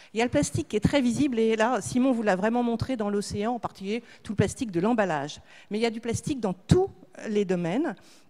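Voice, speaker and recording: Talking at a very fast pace, a woman has a dark, mellow tone, a fairly high pitch and lively intonation. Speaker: association head / speaker on plastics recycling. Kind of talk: conference talk.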